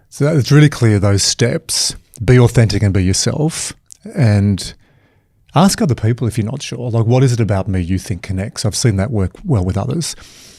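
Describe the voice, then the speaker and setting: Speaking at a moderate pace with lively intonation, this voice is somewhat breathy and has a dark, mellow tone and an Australian accent. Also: man, medium pitch for a man. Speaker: performance coach, keynote speaker. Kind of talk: casual interview conversation.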